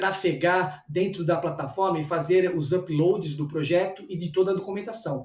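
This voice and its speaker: This man talks in a high pitch. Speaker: cultural producer and teacher. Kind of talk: lecture. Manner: fast; halting.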